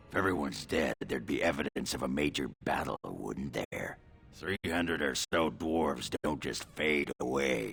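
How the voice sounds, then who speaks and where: Over music in the background, a man uses a put-on character voice that is gruff, raspy and very deep in pitch. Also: moderate pace. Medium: video game. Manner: gruff, salty.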